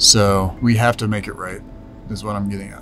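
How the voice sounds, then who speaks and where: A man's fairly low voice at a moderate pace, with audible room echo and noticeable background noise. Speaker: scam-fighting YouTuber. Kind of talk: casual vlog talk to camera.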